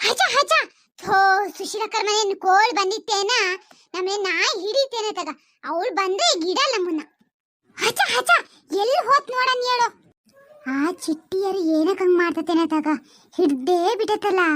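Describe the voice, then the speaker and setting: Doing a cartoonish character voice, a woman speaks at a fairly slow pace with an extremely high pitch. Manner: chatty, homely.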